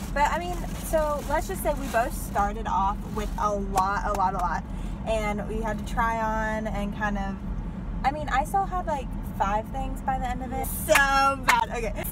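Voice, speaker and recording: There is noticeable background noise, though the sound is dry with no echo. A woman speaks at a moderate pace. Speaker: vlogger. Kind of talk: casual vlog chat. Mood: cheerful, laughing. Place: car. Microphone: phone near.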